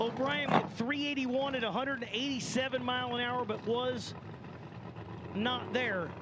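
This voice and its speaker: A man with a slight Southern US accent speaks at a moderate pace in an extremely high voice. His intonation is fairly even, with audible room echo and noticeable background noise. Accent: slight Southern twang. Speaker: drag racing announcer. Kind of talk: live commentary. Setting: announcer tower at drag strip, PA system.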